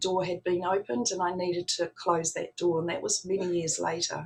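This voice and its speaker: Speaking at a moderate pace, a woman has a medium pitch and an unremarkable speaking voice. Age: 60s. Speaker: spiritual practitioner. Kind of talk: talk to an online audience.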